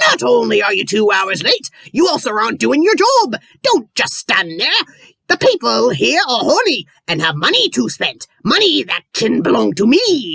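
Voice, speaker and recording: The gruff, put-on character voice moves along at a moderate pace. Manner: bossy, scolding.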